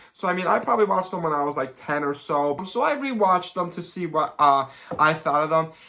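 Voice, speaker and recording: Over noticeable background noise, a woman with a fairly low pitch talks very fast, her pitch varying in an ordinary way. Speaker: movie reviewer. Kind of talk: casual movie review vlog.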